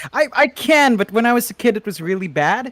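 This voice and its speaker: High-pitched man with lively intonation, in a dry, close sound with no echo. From Philippines. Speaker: esports commentator. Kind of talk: casual chat. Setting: live stream.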